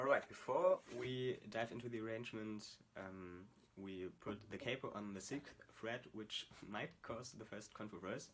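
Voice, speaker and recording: A man with a non-native accent speaks at a fairly slow pace. His pitch is medium and his intonation fairly even. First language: not English. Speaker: guitar tutorial creator. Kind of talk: tutorial. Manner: halting, many fillers.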